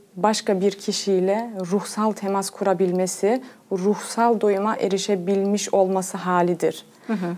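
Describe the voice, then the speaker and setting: Noticeable background noise sits behind a woman speaking at medium pitch. Her intonation is monotone and flat, her pace fairly slow. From Germany. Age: 30s. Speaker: pedagogue. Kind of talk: TV interview. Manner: hesitant, many fillers.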